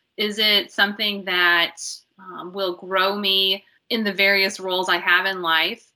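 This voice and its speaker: Woman with an American accent in an ordinary speaking voice, medium-pitched, fairly slow, with fairly even intonation. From US Midwest, southern Illinois. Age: 40s. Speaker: registered dietitian and ministry volunteer. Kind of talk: interview conversation.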